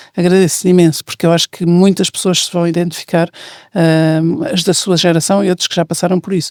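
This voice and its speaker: In a very clean recording with a silent background and a dry, close sound with no echo, a woman speaks at a fairly quick pace in a dark, mellow tone with monotone, flat intonation. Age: 60s. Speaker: podcast host. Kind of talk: casual chat.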